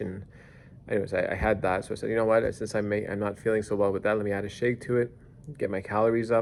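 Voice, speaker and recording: A man's fairly low voice at a very fast pace. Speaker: video blogger documenting weight loss. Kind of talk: casual video diary. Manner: loud, excitable; hesitant, many fillers.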